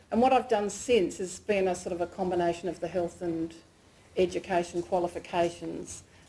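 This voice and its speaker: A woman with an Australian accent, fairly low in pitch with vocal fry, at a moderate pace and with fairly even intonation. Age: 60s. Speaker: PhD candidate and lecturer. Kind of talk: research presentation. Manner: casual, self-deprecating with fillers.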